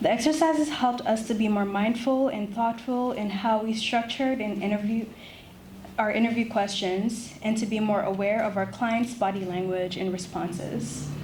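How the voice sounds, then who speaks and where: A woman with a fairly high pitch and ordinary pitch variation speaks at a moderate pace, with audible room echo and noticeable background noise. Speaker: law student. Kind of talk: prepared presentation. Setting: ceremony with audience.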